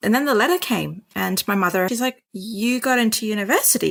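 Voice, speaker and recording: A woman speaks with a fairly high pitch. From Sri Lanka. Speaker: doctor. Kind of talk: interview storytelling. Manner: animated.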